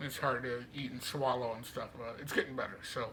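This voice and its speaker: Amid audible room echo, a man with a bright, sharp tone speaks at a moderate pace with fairly even intonation. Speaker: vlogger sharing medical journey. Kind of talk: personal video diary. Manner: casual, conversational.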